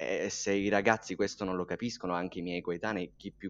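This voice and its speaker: Against a quiet background, a man with a very deep, low pitch speaks at a fairly quick pace. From Sicily, Catania province. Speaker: podcast co-host. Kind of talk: interview.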